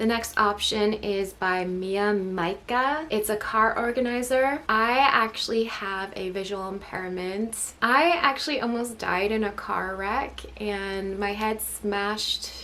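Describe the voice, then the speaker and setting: Very slow speech from a woman at fairly high pitch, ordinary pitch variation and hardly any pauses, with noticeable background noise. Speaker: product review YouTuber. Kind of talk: casual product review monologue.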